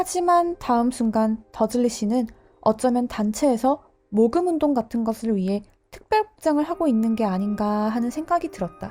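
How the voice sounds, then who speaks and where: A woman's high voice with a dark, mellow tone, lively intonation and a moderate pace. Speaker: teacher and audiobook narrator. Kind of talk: audiobook narration, bilingual Korean-English, sleep listening.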